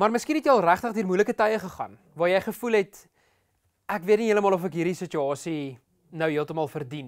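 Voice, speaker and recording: Over a quiet background, a man with a high voice speaks with lively intonation. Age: 30s. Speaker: pastor. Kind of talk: sermon. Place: studio. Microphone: lapel.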